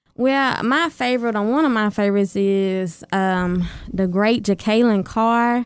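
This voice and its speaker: A fairly high-pitched woman's voice in a Southern US accent, fairly slow, with very even loudness, ordinary pitch variation, and a very clean recording with a silent background. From Arkansas. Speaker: gospel singer. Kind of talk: interview answers.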